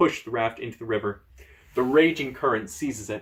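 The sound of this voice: Reading in an unforced voice, the speaker uses lively intonation.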